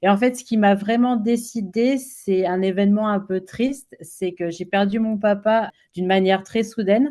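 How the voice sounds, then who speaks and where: A woman speaks at a fairly slow pace with fairly even intonation, a medium pitch, and a dark, mellow tone. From France. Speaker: children's author. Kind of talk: interview. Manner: hesitant, many fillers.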